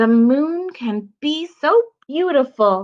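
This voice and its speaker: A woman's put-on character voice, high-pitched with very wide pitch swings, at a very slow pace. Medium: read story.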